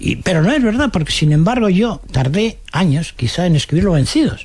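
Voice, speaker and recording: Over noticeable background noise, a man talks at a fairly quick pace. He speaks with a Madrid accent. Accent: Castilian Spanish (Madrid). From Madrid, Spain. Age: 80s+. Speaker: novelist. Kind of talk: radio interview answer.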